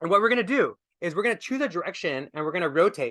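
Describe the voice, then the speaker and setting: A man uses a raised, projected voice, high in pitch, with a bright, sharp tone and lively intonation. He goes at a very fast pace over a quiet background. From India. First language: not English. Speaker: wellness speaker. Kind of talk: workshop talk. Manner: casual, animated.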